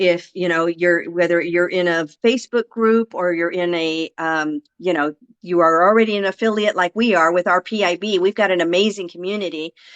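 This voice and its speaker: A woman's ordinary speaking voice, fairly low in pitch, at a moderate pace with fairly even intonation and hardly any pauses. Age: 60s. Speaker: affiliate marketer. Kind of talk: interview.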